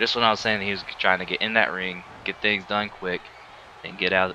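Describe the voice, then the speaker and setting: Over noticeable background noise, a man talks at a fairly quick pace with a very deep, low pitch. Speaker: gaming YouTuber. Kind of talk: gameplay commentary. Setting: home recording alone. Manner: casual, animated at moments.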